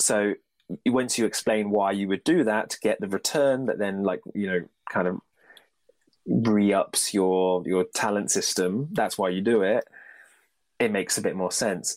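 A man with a British accent, fairly low in pitch, at a moderate pace, with ordinary pitch variation, in a very clean recording with a silent background and a dry, close sound with no echo. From Britain. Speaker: baseball fan podcast guest. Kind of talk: casual chat.

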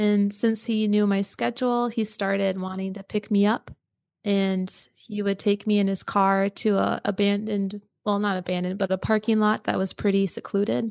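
At a moderate pace, a woman speaks in a normal speaking voice at a medium pitch with fairly even intonation, in a dry, close sound with no echo on a very clean recording with a silent background. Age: 20s. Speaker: podcaster and abuse survivor. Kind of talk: testimony.

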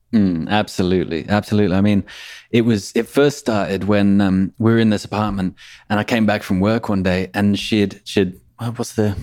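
A man speaks in a fairly low pitch, keeping his intonation fairly even. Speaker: podcast editor. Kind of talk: casual interview conversation. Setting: remote call. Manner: fast talker.

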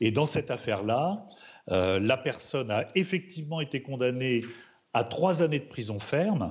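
Fairly slow, somewhat breathy speech from a man at medium pitch, with very wide pitch swings. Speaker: criminal defense lawyer. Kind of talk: studio debate interview.

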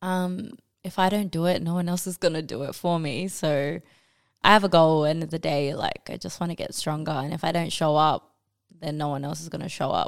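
A woman speaks with an Australian accent and a fairly low pitch. Her intonation is fairly even, and the recording is very clean with a silent background. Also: fairly quick pace. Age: 20s. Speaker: powerlifter. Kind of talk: casual chat.

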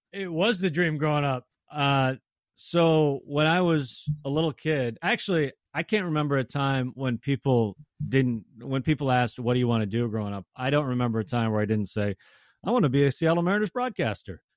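A man with an American accent and a plain, everyday voice, fairly high in pitch, with lively intonation, a fairly quick pace and a dry, close sound with no echo. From Tacoma, Washington, US. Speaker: baseball broadcaster. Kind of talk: interview.

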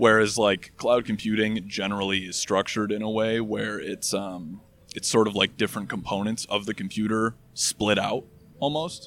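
A man with an American accent speaks in a normal speaking voice, fairly low in pitch. His intonation is fairly even and his pace moderate. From Michigan. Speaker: software engineer. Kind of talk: casual chat. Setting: outdoors.

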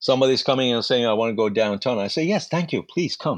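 A man with a Persian accent at a fairly quick pace. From Iran. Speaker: actor. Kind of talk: life story interview. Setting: remote call with aircraft noise nearby.

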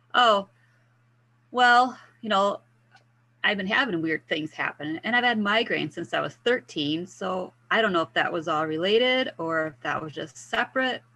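A normal speaking voice with lively intonation keeps to a moderate pace. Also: woman, medium pitch for a woman. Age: 50s. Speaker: wellness mentor for women with multiple sclerosis. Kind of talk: interview.

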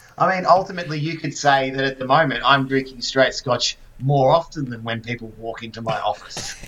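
Noticeable background noise under a man's fairly quick speech, hardly any pauses. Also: medium pitch for a man, ordinary pitch variation, big swings in loudness. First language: not English. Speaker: podcast co-host. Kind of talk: casual chat.

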